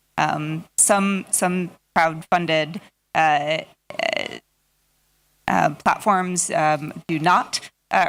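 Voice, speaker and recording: In a very clean recording with a silent background, a woman speaks with an American accent and a normal speaking voice. Her pitch is fairly low, with ordinary pitch variation. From United States. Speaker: audience member. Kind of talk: audience question.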